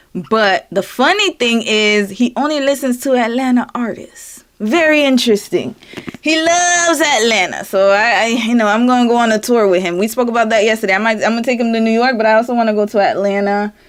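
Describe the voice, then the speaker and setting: Over noticeable background noise, a woman talks in an animated tone at a fairly high pitch, her loudness very even and her pitch variation ordinary. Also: fairly quick pace. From US South, Florida. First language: French. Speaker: live streamer. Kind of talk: casual chat. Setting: live stream.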